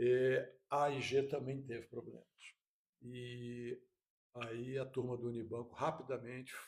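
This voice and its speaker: Somewhat breathy and at medium pitch, a man speaks fairly slowly in a monotone, flat manner with long, frequent pauses. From Rio de Janeiro, Brazil. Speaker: insurance executive. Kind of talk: podcast interview.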